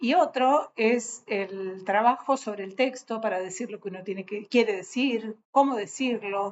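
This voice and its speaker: The speaker moves at a fairly slow pace with hardly any pauses, ordinary pitch variation and big swings in loudness. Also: woman, fairly high pitch for a woman. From Argentina, Patagonia (Bariloche). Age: 60s. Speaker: writer. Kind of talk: casual talk to an audience. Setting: on a trip in a city. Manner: halting, many fillers.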